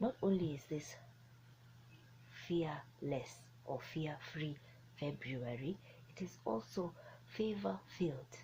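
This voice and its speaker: A woman's very deep, low voice with a dark, mellow tone, vocal fry, lively intonation, a very slow pace and long, frequent pauses. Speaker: motivational speaker. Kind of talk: motivational talk. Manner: animated.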